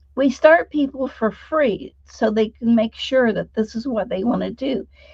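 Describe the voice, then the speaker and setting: A woman's somewhat breathy voice, dark and mellow in tone, fairly high in pitch, at a moderate pace with ordinary pitch variation. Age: 70s. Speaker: sound healing practitioner and trainer. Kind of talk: interview conversation.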